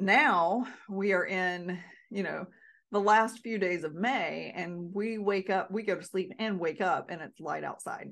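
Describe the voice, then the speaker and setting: An unremarkable speaking voice from a woman, medium in pitch, at a fairly slow pace with fairly even intonation over a quiet background. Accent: American. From North Carolina. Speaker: podcast host, Alzheimer's prevention educator. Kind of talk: solo podcast talk.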